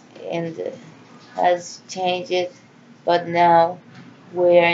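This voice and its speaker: Noticeable background noise sits behind a woman with a fairly low pitch speaking at a very slow pace. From Central America. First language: Spanish. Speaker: vlogger. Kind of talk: personal monologue. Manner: halting.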